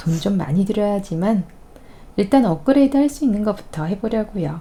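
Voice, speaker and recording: A dark, mellow tone, somewhat breathy, with lively intonation. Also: woman. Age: 40s. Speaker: vlogger. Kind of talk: reading aloud.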